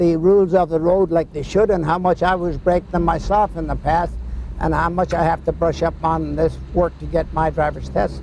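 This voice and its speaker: A man speaks at a moderate pace while noticeable background noise plays behind him. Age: 70s. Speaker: senior driver. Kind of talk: interview.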